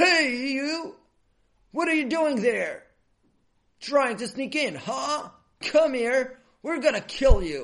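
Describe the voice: Slowly, a man performs a put-on character voice at an extremely high pitch with big pitch swings and a fairly bright tone. Audible room echo surrounds the recording.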